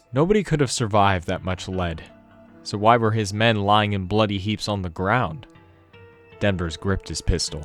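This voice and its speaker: A man's fairly low voice at a moderate pace, with ordinary pitch variation and music in the background. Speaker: narrator. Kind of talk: audiobook narration.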